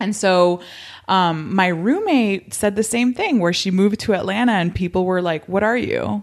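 A woman's medium-pitched, an ordinary speaking voice with an American accent, ordinary pitch variation, and a moderate pace. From Miami, Florida. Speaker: podcast host. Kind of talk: casual interview conversation.

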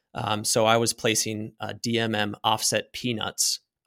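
A man speaks at a medium pitch in a flat monotone, the sound dry and close with no echo, on a very clean recording with a silent background. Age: 30s. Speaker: rock climber, accident survivor. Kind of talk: testimony.

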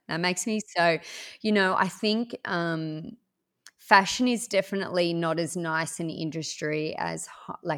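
In an Australian accent, a woman speaks fairly slowly at a fairly low pitch with ordinary pitch variation. The recording is very clean, the background silent. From Orange, central west New South Wales, Australia. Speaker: small business owner. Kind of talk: interview.

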